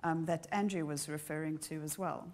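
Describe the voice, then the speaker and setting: With a South African accent, a woman speaks at a fairly quick pace in a monotone, flat intonation. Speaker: ecosystem services researcher, keynote speaker. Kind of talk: conference keynote lecture. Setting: conference hall with audience, live streamed.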